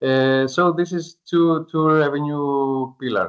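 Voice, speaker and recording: A man speaks with a Greek accent. His pitch varies in an ordinary way. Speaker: startup founder. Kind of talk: pitch presentation; Q&A answer. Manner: halting.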